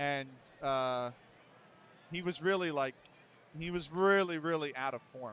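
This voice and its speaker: Using a Philadelphia accent, a man speaks fairly slowly in a fairly high voice with ordinary pitch variation and long, frequent pauses. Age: 30s. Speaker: baseball sim streamer and commentator. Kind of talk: live play-by-play commentary with casual chat. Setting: live stream. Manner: casual, conversational.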